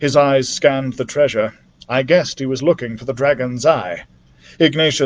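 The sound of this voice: Reading in an unforced voice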